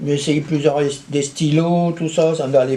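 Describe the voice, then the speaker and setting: A man's fairly high voice against noticeable background noise. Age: 80s+. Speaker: local historian. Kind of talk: interview. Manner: halting, many hesitations and restarts.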